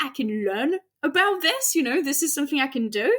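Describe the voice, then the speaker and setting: The speaker has lively intonation and a slight French accent. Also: woman. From France. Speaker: astrophysicist. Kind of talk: interview.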